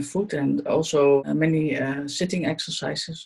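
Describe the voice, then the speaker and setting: In a Dutch accent, a woman talks at a fairly slow pace. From Netherlands. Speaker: Buteyko trainee and student. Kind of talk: interview testimony. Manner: halting.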